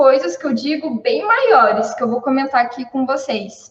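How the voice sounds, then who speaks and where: Her voice sits high as this woman talks at a moderate pace. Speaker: civil engineer, cost estimator. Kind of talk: live stream talk, informal lecture.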